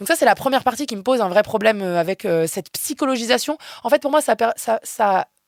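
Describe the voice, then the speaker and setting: Here a woman talks at a fairly quick pace. Her pitch is fairly high and her intonation lively. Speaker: philosophy researcher and activist. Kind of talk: interview conversation. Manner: loud.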